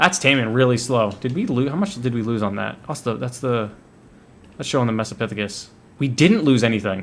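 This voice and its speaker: Using a plain, everyday voice, a man talks fairly quickly at a medium pitch with ordinary pitch variation. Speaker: gaming video creator. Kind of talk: gameplay commentary. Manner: casual, thinking aloud.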